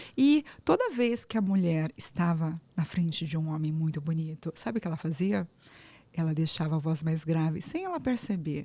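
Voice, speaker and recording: This woman's fairly low voice is somewhat breathy, with ordinary pitch variation. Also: moderate pace. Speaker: speech therapist, voice coach. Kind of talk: interview podcast conversation.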